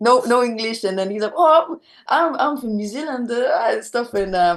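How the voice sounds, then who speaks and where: A woman talks in a Spanish accent at a high pitch, keeping a moderate pace. Her intonation is lively. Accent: Spanish accent when speaking French. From Venezuela. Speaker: rock musician. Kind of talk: interview. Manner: halting, many fillers and repetitions.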